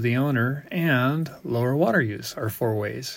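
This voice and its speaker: On a very clean recording with a silent background, a man speaks in a normal speaking voice at a medium pitch with ordinary pitch variation. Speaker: water rights engineer. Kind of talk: scripted narration.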